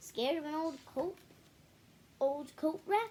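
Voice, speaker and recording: A woman performs a put-on character voice at an extremely high pitch. Her pace is fairly slow. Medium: read story. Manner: cheerful, a bit jumpy.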